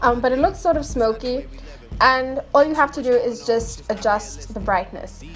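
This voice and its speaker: A woman talks at a moderate pace. Music plays in the background. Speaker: video editing tutorial maker. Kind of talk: tutorial voice-over commentary. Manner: casual, hesitant.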